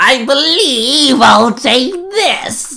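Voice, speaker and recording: A put-on character voice pitched high. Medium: read story. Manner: cackling, taunting.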